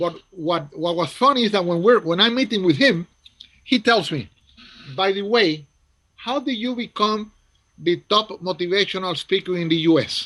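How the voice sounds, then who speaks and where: A man's high-pitched voice with a Spanish accent. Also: lively intonation, moderate pace. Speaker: motivational speaker. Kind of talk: casual interview storytelling. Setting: video call. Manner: animated.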